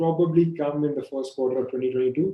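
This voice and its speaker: The speaker is a man. His intonation remains fairly even throughout. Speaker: equity research analyst. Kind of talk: webinar presentation. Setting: online webinar. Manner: fast.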